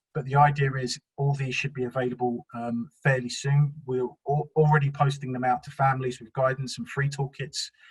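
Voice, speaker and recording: A man's fairly high, somewhat breathy voice, monotone and flat, at a fairly quick pace, dry and close with no echo. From South London, England. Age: 40s. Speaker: youth work trainer. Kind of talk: webinar presentation. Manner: hesitant, many fillers.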